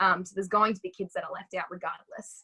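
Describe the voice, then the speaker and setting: A woman with an Australian accent, medium-pitched, at a very fast pace, in a bright, sharp tone with monotone, flat intonation and a dry, close sound with no echo. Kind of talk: interview.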